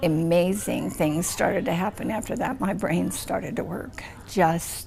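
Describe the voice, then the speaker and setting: Whispering at a moderate pace, a woman speaks with an American accent. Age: 70s. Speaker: multiple sclerosis patient. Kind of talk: testimony. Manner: animated.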